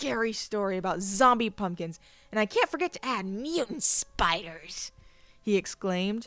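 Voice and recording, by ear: Someone is reading aloud in a natural voice. The reading is delivered at an unforced, everyday level.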